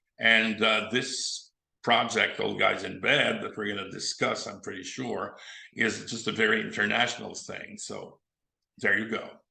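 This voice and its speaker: A man talks in a Quebec accent, with big swings in loudness. Room echo is audible. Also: fairly slow pace. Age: 70s. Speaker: film director and actor. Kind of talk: interview.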